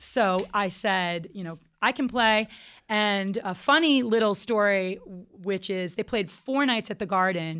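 In a plain, everyday voice, a woman talks at a medium pitch and fairly slow pace with ordinary pitch variation, on a very clean recording with a silent background. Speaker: band guitarist and singer. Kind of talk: casual radio interview. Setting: radio studio.

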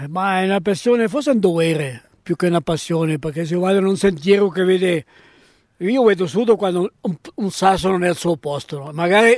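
The speech moves at a fairly quick pace with ordinary pitch variation and a dry, close sound with no echo. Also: man. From Italian-speaking Switzerland. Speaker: local hiker and trail volunteer. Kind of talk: interview. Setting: outdoors. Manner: halting.

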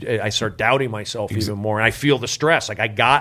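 A man with a Californian accent and a bright, sharp tone, on a very clean recording with a silent background. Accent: Californian American. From US, Los Angeles (San Fernando Valley). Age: 40s. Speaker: comedian. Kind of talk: casual chat.

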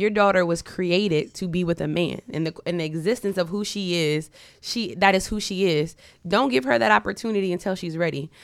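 An unremarkable speaking voice with ordinary pitch variation moves at a fairly quick pace on a very clean recording with a silent background. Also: woman, fairly low pitch for a woman. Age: 30s. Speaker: podcast co-host. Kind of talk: casual chat.

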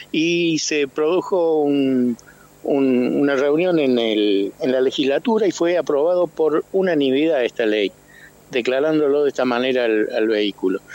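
Speaking at a fairly slow pace with lively intonation and very even loudness, a man with a fairly high pitch is recorded dry and close with no echo amid noticeable background noise. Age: 70s. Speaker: architect and car club member. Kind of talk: radio interview.

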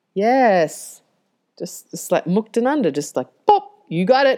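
With an Australian accent, the speaker goes at a fairly slow pace with very wide pitch swings. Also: woman. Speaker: yoga teacher and business coach. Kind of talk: casual podcast monologue. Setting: home recording, main road by the ocean. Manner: chatty, laughs often.

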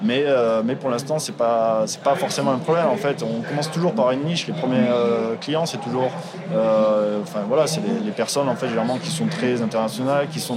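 A man speaks fairly quickly, with audible room echo and noticeable noise behind him. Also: medium pitch for a man, lively intonation. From France, Toulouse. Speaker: edtech entrepreneur. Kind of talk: interview. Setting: live at a trade show.

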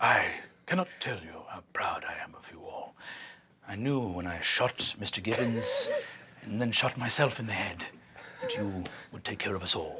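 A put-on character voice comes through low and raspy at a moderate pace. Long pauses break it up frequently. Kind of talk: comic overacting. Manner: grandiose, smug, profane.

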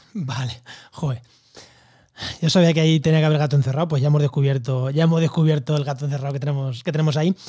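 Speaking at a very fast pace, a man with a fairly high pitch and a dark, mellow tone sounds somewhat breathy, his intonation fairly even. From Spain, La Mancha (Albacete). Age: 30s. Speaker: podcast host, ecologist. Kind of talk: casual interview.

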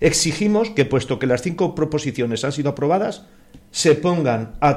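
A man speaks with very wide swings in pitch. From Spain, rural Cuenca (Castilla-La Mancha). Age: 60s. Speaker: neighbourhood association spokesman. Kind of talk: radio panel discussion.

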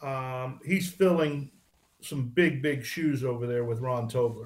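At a fairly slow pace, a man with a fairly high pitch speaks in a somewhat breathy voice with ordinary pitch variation. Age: 60s. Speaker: retired drag racer. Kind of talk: interview. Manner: halting.

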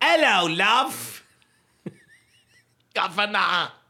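This is a put-on character voice pitched fairly high. It sounds raspy. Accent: English.

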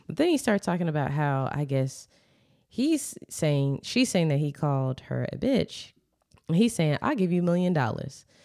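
On a very clean recording with a silent background, a woman's very deep, low voice carries a dark, mellow tone and very wide pitch swings. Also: moderate pace. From Maryland. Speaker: podcast co-host. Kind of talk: casual chat. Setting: studio. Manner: soft-spoken.

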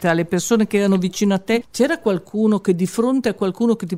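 The delivery comes at a very fast pace. The recording is very clean, with a silent background. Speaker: radio host interviewing new editors. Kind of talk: radio show hosting and interviewing.

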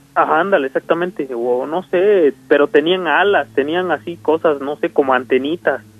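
A man at a moderate pace with hardly any pauses, fairly high in pitch with ordinary pitch variation. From Mexico, Nochixtlán, Oaxaca. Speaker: caller telling a paranormal story. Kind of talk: storytelling on a phone call. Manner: hesitant, many fillers.

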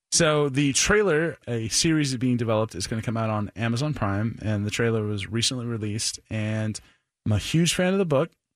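A plain, everyday voice from a man at a medium pitch, fairly quick pace and ordinary pitch variation, in a very clean recording with a silent background. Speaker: radio co-host. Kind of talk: radio DJ patter, casual joking banter. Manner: chatty.

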